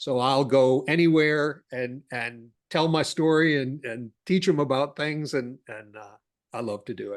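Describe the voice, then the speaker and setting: Against a quiet background, a man with an unremarkable speaking voice talks at a fairly slow pace and fairly high pitch with ordinary pitch variation. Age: 60s. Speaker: cash flow consultant. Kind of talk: podcast interview.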